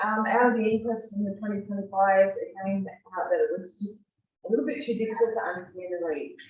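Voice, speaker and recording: A woman's somewhat breathy voice at medium pitch, very fast, with ordinary pitch variation. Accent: Australian. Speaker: fire safety presenter. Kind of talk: presentation to an audience.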